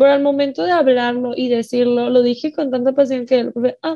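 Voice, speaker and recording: A woman speaks at a high pitch. Her tone is dark and mellow. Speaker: student moderator. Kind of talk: casual interview moderation.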